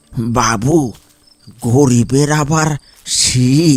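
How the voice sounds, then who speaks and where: A man does a cartoonish character voice that is shaky and medium in pitch. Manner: humble, deferential.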